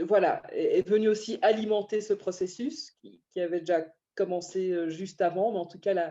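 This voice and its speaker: A woman's dark, mellow tone, with ordinary pitch variation, comes through against a quiet background. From Belgium, Brussels. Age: 30s. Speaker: banker. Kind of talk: interview. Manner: hesitant, many fillers.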